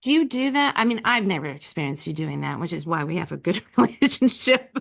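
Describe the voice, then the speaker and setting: Very fast speech with vocal fry and very wide pitch swings. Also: woman, fairly low pitch for a woman. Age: 50s. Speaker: writer, speaker and coach. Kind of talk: podcast interview. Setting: call.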